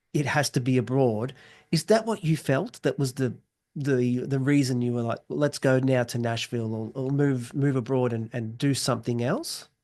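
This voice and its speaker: A man with an Australian accent speaks in a dark, mellow tone with ordinary pitch variation. The background is quiet. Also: medium pitch for a man, moderate pace. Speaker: podcast host. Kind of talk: interview.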